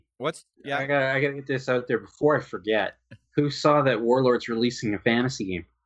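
With a Canadian accent, a man talks at a very fast pace, his medium pitch rising and falling in ordinary ways. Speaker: wargaming podcast co-host. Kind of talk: casual chat.

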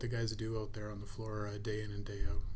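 A somewhat breathy, dark and mellow voice with a Canadian accent moves at a fairly quick pace in a flat monotone, with audible room echo around it. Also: man. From Canada, Prairies (grew up Cold Lake, Alberta). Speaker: plastics company president. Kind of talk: interview.

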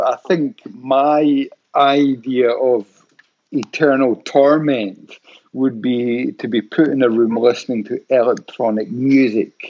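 A man talks with a Scottish accent. His medium pitch shows ordinary variation. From Scotland, Paisley. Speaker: podcast host. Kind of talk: casual interview.

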